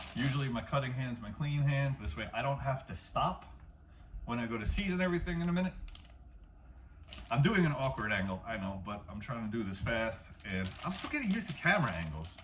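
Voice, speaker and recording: A man speaks at a fairly quick pace with a medium pitch and very wide pitch swings. The room echo is audible and the background noise is noticeable. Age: 40s. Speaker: home cook and martial arts instructor. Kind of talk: cooking tutorial. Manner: fast; casual.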